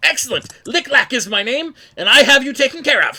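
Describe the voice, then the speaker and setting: Speaking at a fairly quick pace, a man puts on a character voice at an extremely high pitch. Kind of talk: bored. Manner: bored.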